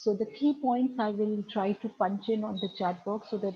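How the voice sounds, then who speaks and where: A woman with a medium pitch speaks in a somewhat breathy, dark, mellow tone with fairly even intonation. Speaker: education speaker. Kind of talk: webinar talk. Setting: video call. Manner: hesitant, many fillers. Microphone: too quiet at first.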